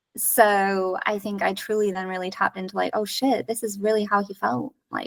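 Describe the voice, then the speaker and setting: A woman has a normal speaking voice at a moderate pace. The sound is dry and close, with no echo. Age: 30s. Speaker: teacher. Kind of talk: casual interview conversation.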